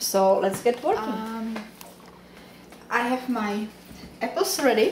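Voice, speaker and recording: There is noticeable background noise and audible room echo as a woman with a Czech accent speaks at a very slow pace, her pitch fairly high with ordinary pitch variation. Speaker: home cooking vlogger. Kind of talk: cooking tutorial. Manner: casual.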